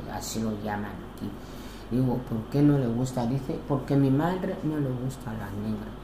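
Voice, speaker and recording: A woman's very deep, low voice with ordinary pitch variation at a fairly slow pace, plus audible room echo and noticeable background noise. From Equatorial Guinea. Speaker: interviewee, widowed mother. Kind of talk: interview. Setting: at her home.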